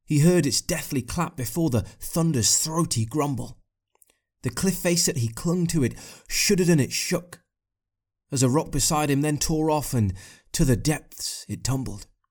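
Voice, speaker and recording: Over a very clean recording with a silent background, a man with a fairly high pitch speaks at a fairly slow pace in a somewhat breathy voice with lively intonation. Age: 20s. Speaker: poet. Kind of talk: poetry reading.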